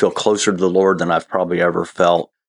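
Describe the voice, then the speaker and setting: A man talks at a very fast pace with a Midwestern US accent. The sound is dry and close, with no echo. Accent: US Midwest. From Ohio, US Midwest. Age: 50s. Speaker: interview guest sharing personal faith story. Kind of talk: personal testimony in interview.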